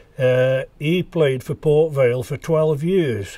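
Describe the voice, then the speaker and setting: Somewhat breathy and dark, mellow in tone, a man with a fairly high pitch speaks at a very slow pace with ordinary pitch variation. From Staffordshire, England. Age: 80s+. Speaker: local historian recalling memories. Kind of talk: reminiscence narration. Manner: halting with frequent fillers.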